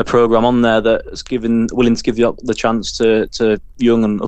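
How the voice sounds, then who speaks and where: A man in a Yorkshire accent, monotone and flat in intonation, at a moderate pace. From Scarborough, North Yorkshire. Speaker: musician in a local band. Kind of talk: casual interview.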